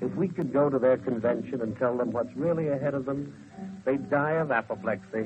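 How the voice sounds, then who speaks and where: Man at medium pitch and a moderate pace, lively intonation, music in the background. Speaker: radio commentator. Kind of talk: 1930s radio commentary.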